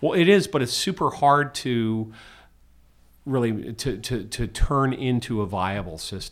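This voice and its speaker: With an American accent and a plain, everyday voice, the speaker talks at a fairly slow pace with lively intonation in a very clean recording with a silent background. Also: man, medium pitch for a man. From US, Washington DC. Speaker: musician and tech investor. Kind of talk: casual interview.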